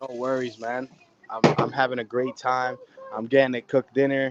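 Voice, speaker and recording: A man at a medium pitch speaks at a fairly quick pace, the sound dry and close with no echo but with noticeable background noise. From New Jersey, US (West New York). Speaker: chef. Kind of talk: live cooking demonstration. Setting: outdoors in his yard on a video call. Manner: loud; animated.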